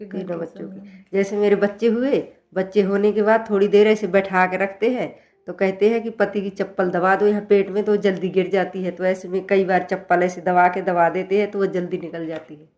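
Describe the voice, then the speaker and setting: A woman talks at a moderate pace and medium pitch. Her intonation is monotone and flat, yet her loudness swings widely. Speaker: house help. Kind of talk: interview answer. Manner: relaxed, confident.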